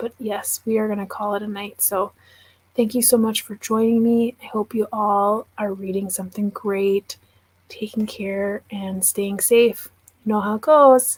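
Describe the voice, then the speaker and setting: Soft-spoken and somewhat breathy, a woman with an American accent and medium pitch talks at a fairly slow pace in a monotone, flat intonation, with a dry, close sound with no echo. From Wisconsin. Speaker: book YouTuber. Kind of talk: livestream chat.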